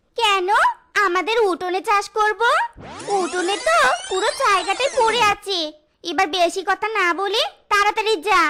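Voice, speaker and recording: At a moderate pace, a cartoonish character voice speaks with an extremely high pitch. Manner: shrill, shouting, abusive.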